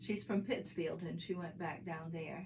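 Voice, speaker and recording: At a moderate pace, a woman talks in a fairly low, somewhat breathy voice. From northern Maine. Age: 70s. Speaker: artist and illustrator. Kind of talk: interview.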